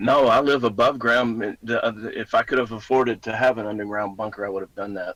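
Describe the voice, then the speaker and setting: A man talks at a very fast pace in a Southern US accent. His intonation stays fairly even. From US South, Mississippi. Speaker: musician. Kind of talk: casual chat.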